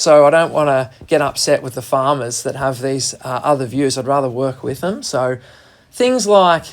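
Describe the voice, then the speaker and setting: A man with a strong Australian accent talks at a moderate pace, with a medium pitch and ordinary pitch variation. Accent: broad Australian. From Australia, Gippsland region of Victoria. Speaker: wildlife carer. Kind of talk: radio interview. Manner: casual, colloquial.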